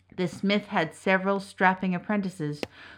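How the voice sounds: Intonation holds fairly even. The reading voice sounds natural.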